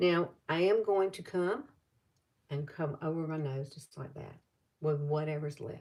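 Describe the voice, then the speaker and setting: With a Southern US accent, a woman speaks in a very deep, low pitch, with a dark, mellow tone that is somewhat breathy. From US South, Alabama. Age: 60s. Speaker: beauty vlogger. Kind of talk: makeup tutorial livestream. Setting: live stream. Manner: casual, chatty.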